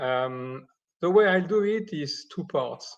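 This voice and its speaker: Against a quiet background, a man with a slight French accent talks with ordinary pitch variation. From Switzerland, near Geneva. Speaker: optics engineer and company founder. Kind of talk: technical presentation.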